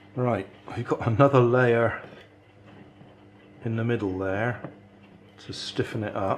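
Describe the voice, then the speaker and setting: Noticeable background noise sits behind a man speaking at a medium pitch and a fairly slow pace. His intonation is fairly even, with long, frequent pauses. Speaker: DIY maker youtuber. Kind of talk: tutorial.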